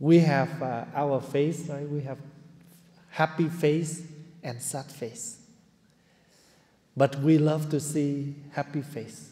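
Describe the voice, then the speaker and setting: A man's somewhat breathy, dark and mellow voice, fairly high in pitch with fairly even intonation, very slow pace, long and frequent pauses, and big swings in loudness. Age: 70s. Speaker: Buddhist monk teacher. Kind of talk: dharma talk.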